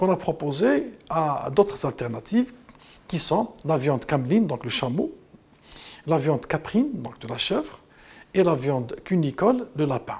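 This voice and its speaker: A man speaks at a fairly slow pace in a fairly high pitch, taking long, frequent pauses. His pitch swings very widely. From Algeria. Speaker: consumer association president. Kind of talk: interview soundbite. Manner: hesitant, repeats words. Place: studio.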